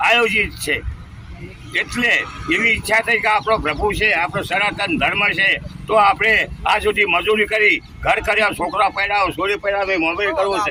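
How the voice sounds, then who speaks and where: Over noticeable background noise, a man projects a raised voice at a high pitch, his loudness very even and his pitch variation ordinary. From north Gujarat, Mehsana district. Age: 70s. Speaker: pilgrim cyclist. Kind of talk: street interview. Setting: outdoors at a bus stand.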